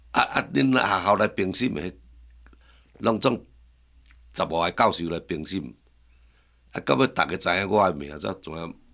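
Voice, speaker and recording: Over long, frequent pauses, a man with a very deep, low pitch and a bright, sharp tone talks at a moderate pace with lively intonation. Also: very clean recording, silent background. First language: Taiwanese Hokkien (speaking Chinese). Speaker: master woodcarver. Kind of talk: casual interview chat in Hokkien.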